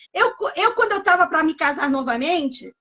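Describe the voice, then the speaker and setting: A woman speaks with lively intonation. Her pitch is extremely high. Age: 60s. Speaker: pastor. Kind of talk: sermon. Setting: live stream.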